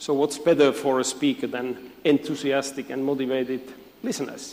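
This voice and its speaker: At a moderate pace, a man speaks in a fairly high pitch with monotone, flat intonation. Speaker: physiotherapy lecturer. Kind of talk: conference talk.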